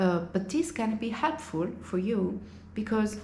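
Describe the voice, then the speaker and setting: A woman speaks with audible room echo. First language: Italian. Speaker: language teacher and vlogger. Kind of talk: casual vlog monologue.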